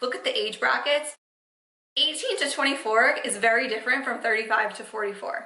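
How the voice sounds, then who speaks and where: An energetic woman with a fairly high voice and ordinary pitch variation talks fairly quickly, with audible room echo. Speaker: podcast host, social media marketing coach. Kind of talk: solo podcast talk, advice. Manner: fast; casual, energetic.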